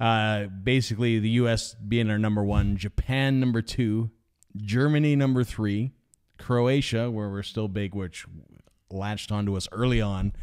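A man's voice at a moderate pace with fairly even intonation. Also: fairly low pitch for a man. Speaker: podcast co-host. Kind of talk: casual chat. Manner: hesitant, agreeable.

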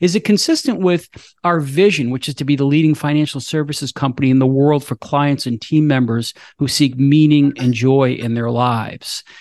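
Against a quiet background, a man with a fairly high pitch speaks at a moderate pace with ordinary pitch variation in an unremarkable speaking voice. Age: 50s. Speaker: wealth management firm CEO. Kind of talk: interview.

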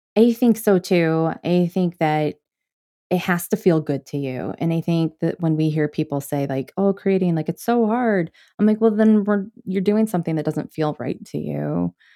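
Dark and mellow, a woman's fairly low voice shows ordinary pitch variation at a moderate pace. The sound is dry and close with no echo, on a very clean recording with a silent background. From US Midwest, Michigan. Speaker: librarian and systems coach, podcaster. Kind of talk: casual interview chat. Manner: animated, laughs often.

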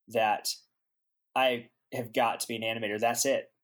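With a Southern US accent, a man talks at a moderate pace and medium pitch on a very clean recording with a silent background. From US South, Aiken, South Carolina. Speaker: animator. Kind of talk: casual chat.

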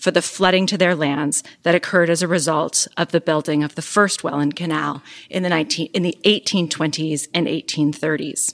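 A woman's unremarkable speaking voice, fairly low in pitch, at a moderate pace, with a dry, close sound and no echo. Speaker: professor and moderator. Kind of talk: formal introduction. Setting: stage with audience.

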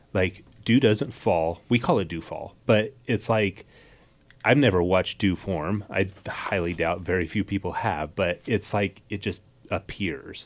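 Talking at a fairly slow pace, a man in an unremarkable speaking voice keeps a fairly low pitch with ordinary variation. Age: 30s. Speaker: podcast host. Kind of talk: casual interview chat.

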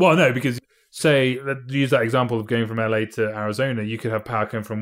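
With a British accent, a man talks at a very fast pace with fairly even intonation in a very clean recording with a silent background. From Britain. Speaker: mathematician and physicist. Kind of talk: interview. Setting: in person over drinks.

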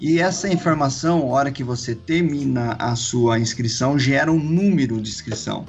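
Lively intonation runs at a moderate pace with hardly any pauses. Music plays in the background, and room echo is audible. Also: man, medium pitch for a man. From Campinas, São Paulo state, Brazil. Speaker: cycling event organizer. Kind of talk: casual interview.

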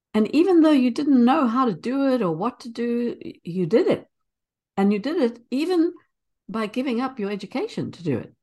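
A woman speaks at a high pitch with very wide pitch swings and big swings in loudness. Her tone is dark and mellow. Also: moderate pace. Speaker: early childhood educator and interviewer. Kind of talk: casual interview. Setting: remote call.

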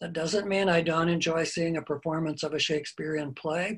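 A man with an American accent speaks at a high pitch with fairly even intonation. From US Midwest, Iowa. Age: 70s. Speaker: retired English professor and author. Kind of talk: interview.

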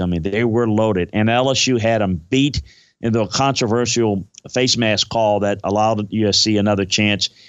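An unremarkable speaking voice with an American accent. It moves at a fairly slow pace with ordinary pitch variation. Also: man. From Louisiana, US South. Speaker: football scout and analyst. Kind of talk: casual sports talk, podcast interview.

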